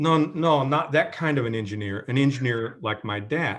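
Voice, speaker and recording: A man with an American accent speaks at a moderate pace in a normal speaking voice, medium in pitch, with ordinary pitch variation. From Kentucky / southern Indiana. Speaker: professor. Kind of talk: interview. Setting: video call.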